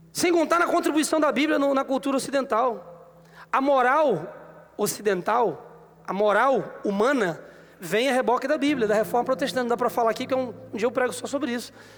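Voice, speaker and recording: Extremely high-pitched, a man speaks with lively intonation and an animated tone. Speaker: pastor. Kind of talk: sermon. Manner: fast.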